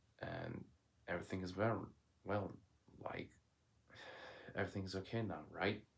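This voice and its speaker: Long, frequent pauses break up a man's moderate pace. His very deep, low pitch holds a monotone, flat intonation. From Turkey. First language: Turkish. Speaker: vlogger. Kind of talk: casual monologue. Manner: loud.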